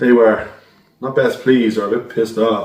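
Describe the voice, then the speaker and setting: At a fairly quick pace, a man talks with a Dublin accent at a medium pitch. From Ireland, Dublin. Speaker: decorator telling a ghost story. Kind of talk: recorded story submission. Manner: casual storytelling.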